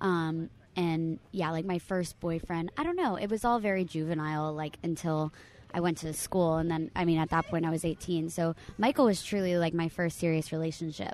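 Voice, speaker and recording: Using an unremarkable speaking voice, a woman talks at a moderate pace with a fairly low pitch and fairly even intonation. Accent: American. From South Florida, Fort Lauderdale area. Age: 20s. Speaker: actress and stand-up comedian. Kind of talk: casual chat.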